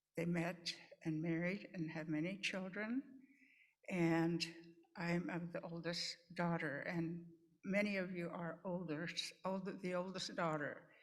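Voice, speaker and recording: Long, frequent pauses break up a woman's fairly slow speech in a fairly low voice with fairly even intonation. There is audible room echo. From Pine Ridge Reservation, South Dakota (Lakota). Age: 80s+. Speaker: nurse and nursing educator. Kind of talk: conference talk. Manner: halting, with repetitions.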